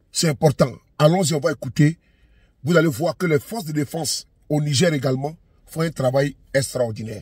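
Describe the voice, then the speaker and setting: A man's somewhat breathy voice at fairly high pitch, with ordinary pitch variation, moderate pace, and long, frequent pauses, in a dry sound with no echo against a quiet background. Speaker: online commentator. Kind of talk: militant commentary intro. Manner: earnest, rousing, declamatory. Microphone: phone near.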